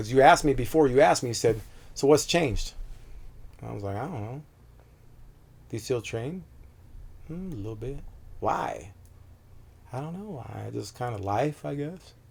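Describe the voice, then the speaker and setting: Calm in tone yet lively in intonation, a man speaks fairly quickly at a medium pitch, somewhat breathy, with big swings in loudness and long, frequent pauses. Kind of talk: interview answer. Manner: calm, direct.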